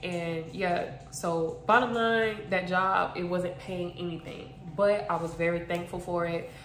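With an American accent, the speaker talks fairly slowly amid audible room echo and light background noise. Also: woman, fairly low pitch for a woman, fairly even intonation. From South Florida, Broward County; Florida. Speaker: YouTuber and makeup artist; YouTuber. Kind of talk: casual chat. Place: home room. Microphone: phone near.

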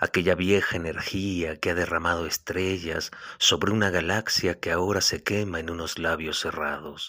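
A man's very deep, low voice has a bright, sharp tone and monotone, flat intonation. He keeps a moderate pace with hardly any pauses on a very clean recording with a silent background. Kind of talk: poetry reading. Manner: measured, contemplative, lyrical delivery; wistful, tender, melancholic tone.

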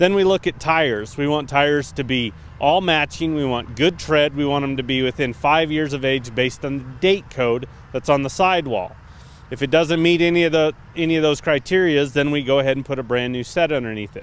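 The voice moves at a fairly quick pace with ordinary pitch variation and a dry sound with no echo. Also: man. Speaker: trailer salesperson. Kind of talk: product walkaround presentation. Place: open country.

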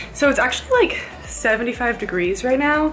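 Faint music drifts in the background. Over it, a woman talks. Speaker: student vlogger on a dance team. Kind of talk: casual vlog chat. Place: home room. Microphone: phone near.

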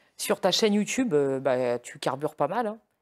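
A man uses a normal speaking voice with lively intonation at a moderate pace. The recording is very clean, with a silent background. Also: dry, close sound with no echo. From Lorraine, north-east France. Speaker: interviewer. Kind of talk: interview.

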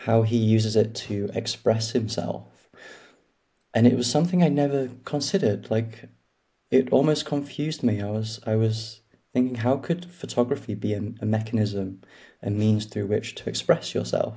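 A man speaks at a moderate pace in a dark, mellow tone that is somewhat breathy, over a quiet background. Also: ordinary pitch variation. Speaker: podcast guest. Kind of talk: interview answer. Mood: reflective, calm. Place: home room. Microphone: video call.

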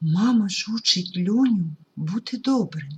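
An unforced reading voice moves along with lively intonation.

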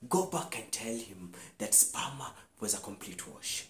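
A man is whispering. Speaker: actor performing a scene. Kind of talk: dramatic monologue performance. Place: home room. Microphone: lapel.

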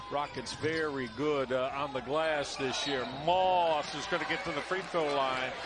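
A man speaks at a fairly slow pace with a fairly high pitch. He hardly pauses at all, and there is noticeable background noise. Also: ordinary pitch variation. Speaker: play-by-play announcer. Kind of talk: live sports commentary. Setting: arena broadcast booth. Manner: animated.

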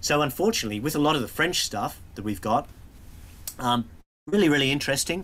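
Very fast speech with an Australian accent, very wide pitch swings, vocal fry, and long, frequent pauses. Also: man, fairly high pitch for a man. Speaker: museum curator. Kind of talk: illustrated talk. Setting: video call. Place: office.

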